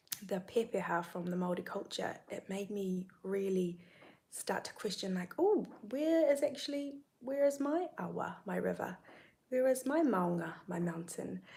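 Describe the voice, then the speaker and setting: At a moderate pace, a woman with a New Zealand accent and a medium pitch sounds somewhat breathy and uses very wide pitch swings. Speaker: spiritual content creator. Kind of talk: livestream monologue. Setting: YouTube live stream.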